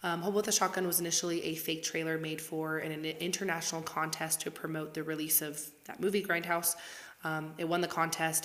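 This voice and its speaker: A woman's fairly low voice, fairly quick and flat in a monotone, over noticeable background noise. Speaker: podcast co-host. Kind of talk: casual chat.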